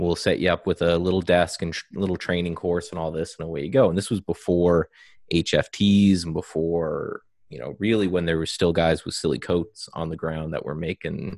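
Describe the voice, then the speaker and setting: A man speaks with a Canadian accent in a very deep, low pitch and fairly even intonation. The sound is dry and close with no echo, on a very clean recording with a silent background. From Eastern Canada. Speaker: algorithmic trader and trading educator. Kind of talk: casual interview conversation.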